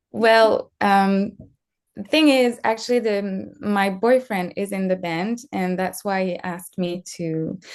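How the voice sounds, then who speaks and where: A woman with a French accent speaks at a very slow pace in a medium pitch. Her pitch varies in an ordinary way against a quiet background. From France. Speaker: screenwriter and director. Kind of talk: interview. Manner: halting.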